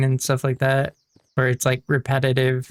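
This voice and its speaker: The speech is mumbled. It moves at a moderate pace. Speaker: gaming YouTuber. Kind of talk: casual gameplay commentary. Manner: mumbling; hesitant, many fillers.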